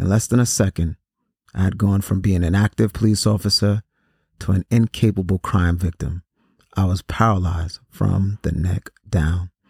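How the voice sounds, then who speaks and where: Somewhat breathy and dramatic in tone, a man speaks at a moderate pace with fairly even intonation. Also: dry, close sound with no echo, very clean recording, silent background. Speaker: podcast host reading a story aloud. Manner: measured and earnest, with a dramatic, somber delivery in the shooting scenes.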